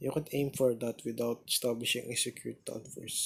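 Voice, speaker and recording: Somewhat breathy, a man talks in a monotone with flat intonation. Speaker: gaming guide narrator. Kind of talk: game tutorial commentary. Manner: hesitant, halting.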